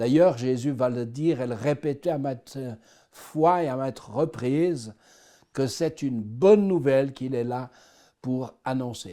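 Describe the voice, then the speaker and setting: In a slight Swiss French accent, a man speaks at a very slow pace with a dark, mellow tone. The recording is very clean, its background silent. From Switzerland, Swiss Jura. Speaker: person giving faith testimony. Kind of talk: testimony.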